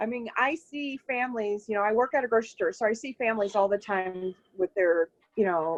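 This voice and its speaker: A woman with an unremarkable speaking voice talks at a fairly high pitch and a fairly quick pace with ordinary pitch variation, in a dry, close sound with no echo. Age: 40s. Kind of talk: testimony.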